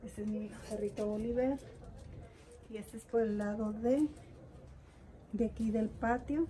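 A dark, mellow tone moves at a fairly slow pace with fairly even intonation. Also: woman, fairly high pitch for a woman.

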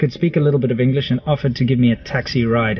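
Light background noise sits under a man speaking with ordinary pitch variation in a dry sound with no echo. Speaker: travel vlogger. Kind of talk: casual vlog chat. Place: car. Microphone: phone near.

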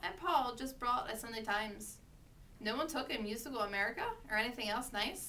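Plain reading aloud with ordinary pitch variation

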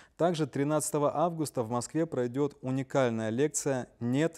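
In a plain, everyday voice, a man speaks at a medium pitch with fairly even intonation, and the sound is dry and close with no echo. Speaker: webinar moderator. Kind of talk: reading listener questions. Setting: online livestream.

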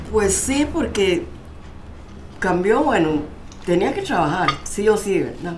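Pitch swings very widely as a woman speaks. She goes very slowly over light background noise. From Costa Rica. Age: 80s+. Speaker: documentary subject, mother. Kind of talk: documentary interview, conversation with her daughter. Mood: reflective, recounting hard memories. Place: home room. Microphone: lapel.

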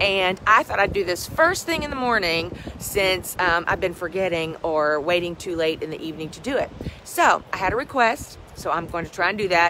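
A woman puts on a raspy character voice at medium pitch. Her intonation is lively, her pace moderate, and clear background noise runs underneath. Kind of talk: casual vlog chat. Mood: relaxed, friendly.

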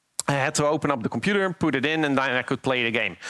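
A man's lively intonation over a quiet background. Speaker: conference speaker. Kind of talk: conference talk, storytelling. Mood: light, humorous. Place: stage. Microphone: headset.

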